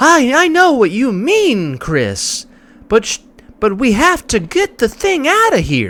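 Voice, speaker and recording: This put-on character voice is fairly high-pitched and delivered at a fairly slow pace. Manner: stilted, unnatural inflection.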